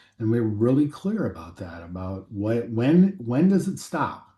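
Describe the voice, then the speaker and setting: This man has an American accent and a medium pitch. There is some breathiness in his voice. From US Midwest (western Nebraska). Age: 60s. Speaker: aviation company CEO. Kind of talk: podcast interview. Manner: halting, many fillers.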